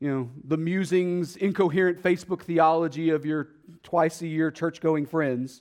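A man with a Texas accent speaks at a fairly high pitch, recorded very cleanly against a silent background. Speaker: pastor. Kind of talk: sermon. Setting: church.

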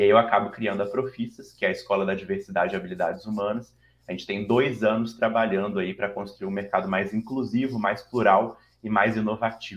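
With a Minas Gerais accent, a man talks fairly quickly at a fairly low pitch and with fairly even intonation. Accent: mineiro (Minas Gerais). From Brazil, Minas Gerais (Belo Horizonte). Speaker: diversity consultancy founder and CEO. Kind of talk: interview.

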